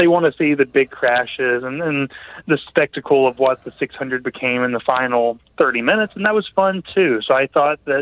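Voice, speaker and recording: Speaking at a moderate pace, a man uses a normal speaking voice pitched fairly high. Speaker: motorsports journalist.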